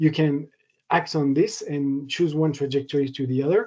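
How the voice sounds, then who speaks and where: This voice carries a French accent. It moves at a moderate speed. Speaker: materials science researcher. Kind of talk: lecture. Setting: online seminar. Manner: halting, with many fillers.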